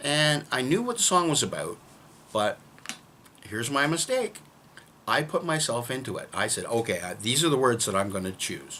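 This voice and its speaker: Over noticeable background noise, a man with a fairly high pitch talks at a moderate pace, his pitch swinging very widely and his pauses long and frequent. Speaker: songwriter. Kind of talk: casual talk to camera.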